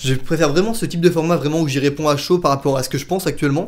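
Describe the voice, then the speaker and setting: A very fast pace and ordinary pitch variation. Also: man. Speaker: YouTuber, theme park vlogger. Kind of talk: casual Q&A vlog. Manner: spontaneous, many hesitations.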